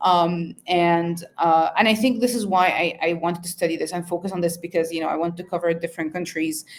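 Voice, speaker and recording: With an Arabic accent, a woman speaks at a fairly quick pace and fairly low pitch, with hardly any pauses and fairly even intonation. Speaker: researcher. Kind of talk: interview. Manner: halting, many fillers.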